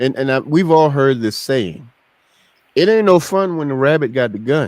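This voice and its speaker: A man speaks at a moderate pace with an unremarkable speaking voice. His pitch is fairly high and his intonation lively. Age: 50s. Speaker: podcast host. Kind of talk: casual chat. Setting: live stream.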